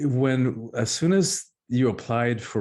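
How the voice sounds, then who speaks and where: Ordinary pitch variation in a Spanish accent over a quiet background. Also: man. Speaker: author and public speaker. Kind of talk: interview. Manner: halting.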